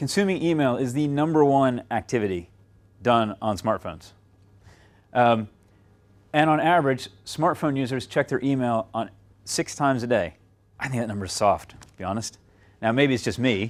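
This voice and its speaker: With an American accent, a man of medium pitch speaks with lively intonation, big swings in loudness and long, frequent pauses on a very clean recording with a silent background. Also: moderate pace. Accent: American accent noticeable in UK. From United States. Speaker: client services director speaking at a seminar. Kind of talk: conference presentation. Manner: conversational with many fillers.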